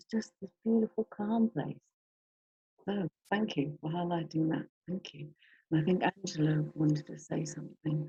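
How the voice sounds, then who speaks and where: At a moderate pace, a woman speaks with a very deep, low pitch, ordinary pitch variation, a gentle, dark and mellow tone and some breathiness, captured dry and close with no echo. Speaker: meditation teacher. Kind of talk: reflective group sharing. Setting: video call. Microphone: distorted sound.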